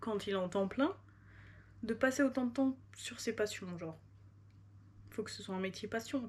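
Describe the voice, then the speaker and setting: A woman speaks at a fairly slow pace with a fairly high pitch and ordinary pitch variation. Her loudness swings widely, and she takes long, frequent pauses. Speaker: vlogger. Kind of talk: casual vlog talk to camera. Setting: at home at night. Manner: casual, filler-heavy.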